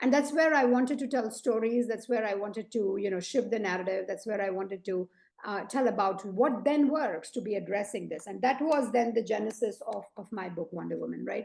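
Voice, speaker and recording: A woman's fairly high voice with vocal fry, at a fairly quick pace and with ordinary pitch variation. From India. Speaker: leadership coach and author. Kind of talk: podcast interview.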